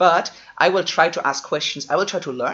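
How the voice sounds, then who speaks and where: With a German accent, a man is talking. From Germany. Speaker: online seminar host. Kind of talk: live online seminar introduction. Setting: live stream video call. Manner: casual, conversational.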